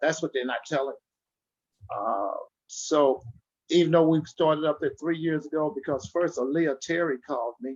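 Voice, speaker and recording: The man's voice is fairly high and his pace fairly quick. Pitch variation is ordinary. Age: 60s. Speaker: community activist. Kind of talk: online forum discussion. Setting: video call. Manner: animated.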